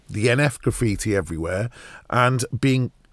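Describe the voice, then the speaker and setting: A man with a London accent and fairly low pitch is heard in a very clean recording with a silent background and a dry, close sound with no echo. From West London. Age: 50s. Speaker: broadcaster and documentary presenter. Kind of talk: interview.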